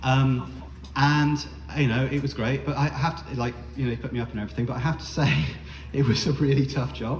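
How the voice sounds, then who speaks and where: In a British accent, a man speaks at a fairly quick pace amid audible room echo. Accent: non-American, British. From UK. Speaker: spoken word performer. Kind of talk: storytelling performance. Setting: bar stage with audience. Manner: casual, many fillers and hesitations.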